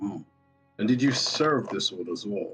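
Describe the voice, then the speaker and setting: A man puts on a character voice at medium pitch and a moderate pace, with lively intonation. Faint music plays in the background. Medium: actual play. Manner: formal, courteous.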